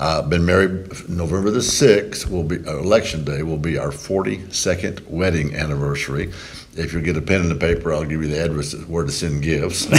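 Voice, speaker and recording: A man with a very deep, low pitch and a Texan accent talks at a fairly quick pace with ordinary pitch variation, over noticeable background noise and audible room echo. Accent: Texan Southern US. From Texas, Brazoria County near Houston. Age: 60s. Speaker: politician. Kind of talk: interview.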